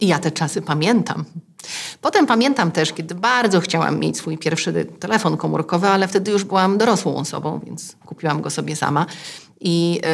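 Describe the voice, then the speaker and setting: The voice carries vocal fry and moves at a fairly quick pace. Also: woman. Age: 40s. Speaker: podcast host. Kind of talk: scripted narration; interview. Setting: in person.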